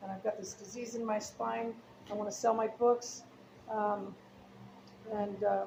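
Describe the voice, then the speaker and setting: A woman at medium pitch and a moderate pace, with big swings in loudness, long, frequent pauses and noticeable background noise. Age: 60s. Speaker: chess book seller. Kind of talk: casual chat. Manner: hesitant, many fillers.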